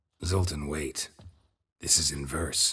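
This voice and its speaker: A man puts on a character voice, raspy and very deep in pitch. His tone is deadpan. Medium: video game. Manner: terse, dry, deadpan.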